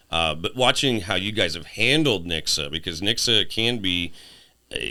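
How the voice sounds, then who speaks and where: Deep and very low in pitch, a man speaks in a bright, sharp tone with lively intonation at a moderate pace, with audible room echo. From southwest Missouri (Ozarks). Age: 40s. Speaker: podcast host. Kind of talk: casual chat. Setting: studio.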